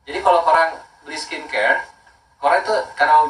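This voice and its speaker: A man speaks at a fairly quick pace. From Makassar, South Sulawesi, Indonesia. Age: 30s. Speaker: skincare brand owner. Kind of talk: casual talk promoting skincare.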